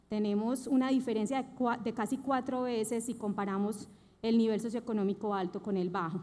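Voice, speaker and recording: The speaker has a Colombian paisa accent. The intonation stays fairly even. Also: woman. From Colombia, Antioquia (paisa region). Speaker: bank executive, conference speaker. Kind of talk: conference talk.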